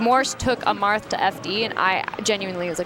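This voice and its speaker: Over music in the background, a woman speaks with a fairly high pitch and ordinary pitch variation. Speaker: esports commentator. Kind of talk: live commentary. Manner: halting.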